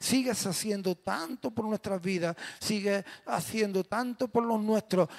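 The speaker talks at a fairly slow pace. The background is quiet. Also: man. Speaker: pastor. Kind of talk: prayer before sermon. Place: church. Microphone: handheld.

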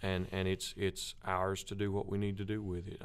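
A man with an American accent speaks at a very deep, low pitch and a moderate pace. His intonation is monotone and flat. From US South. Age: 30s. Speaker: gospel quartet lead singer; guest. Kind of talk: interview. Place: studio. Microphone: studio mic.

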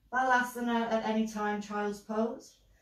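There is audible room echo as a woman speaks with a fairly high pitch. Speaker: yoga instructor. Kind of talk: guided yoga class, giving calm spoken cues for poses. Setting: live online class from home. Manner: calm, soothing, instructional, steady pacing with gentle cues. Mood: calm, soothing guidance. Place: home room. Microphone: camera far.

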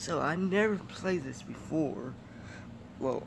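Amid noticeable background noise, a man talks very slowly with lively intonation. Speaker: mobile gamer. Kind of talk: casual gameplay commentary.

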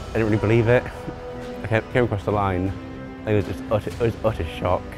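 A man talks while clear music plays in the background. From Greater Manchester. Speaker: para cyclist. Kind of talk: interview answer. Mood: proud, modest, happy. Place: hall. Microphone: lapel.

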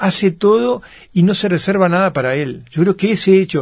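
Ordinary pitch variation marks a man's fairly quick speech. Behind him, the background is quiet. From Uruguay. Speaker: author and film producer; interviewee. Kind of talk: interview. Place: studio.

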